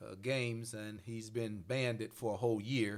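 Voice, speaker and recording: A man in a Mississippi accent, medium in pitch, fairly slow, with fairly even intonation. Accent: Southern US (Mississippi). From US South, Mississippi Delta. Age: 60s. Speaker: pastor and podcast host. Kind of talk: casual discussion.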